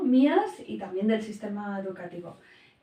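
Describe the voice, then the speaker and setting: There is audible room echo around a woman's voice. She has a fairly high pitch and a moderate pace. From Spain, Basque Country (San Sebastián). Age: 40s. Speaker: family and educational coach, primary teacher. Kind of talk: interview. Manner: hesitant, many fillers.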